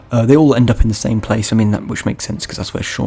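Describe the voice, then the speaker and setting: The speech comes at a very fast pace with lively intonation. Noticeable background noise is present. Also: man. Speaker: gaming youtuber. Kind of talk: unscripted video game review. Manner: halting, self-correcting; casual rambling.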